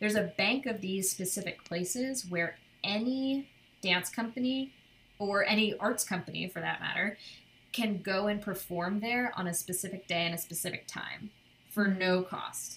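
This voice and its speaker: An ordinary speaking voice from a woman, medium in pitch, at a moderate pace with ordinary pitch variation. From New York State (Cornwall, upstate). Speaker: dance company manager and dancer. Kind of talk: casual interview. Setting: video call.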